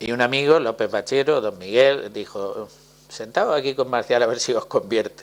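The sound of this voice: The pace is moderate. Pitch varies in an ordinary way. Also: man, medium pitch for a man.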